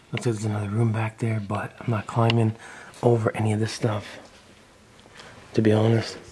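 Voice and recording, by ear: A man talks at a moderate pace in a fairly low pitch, his tone dark and mellow and his intonation monotone and flat.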